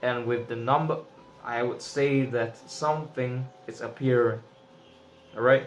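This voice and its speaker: A man with a non-native accent talks at a fairly slow pace, his medium pitch held in a monotone, flat intonation. Long, frequent pauses break up his speech over noticeable background noise. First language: not English. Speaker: tarot reader. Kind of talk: tarot reading monologue. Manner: casual, with filler words.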